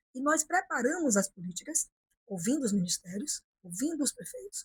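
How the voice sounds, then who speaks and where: A woman speaks at a moderate pace with very wide pitch swings. The sound is dry and close, with no echo. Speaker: politician. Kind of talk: interview. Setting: office.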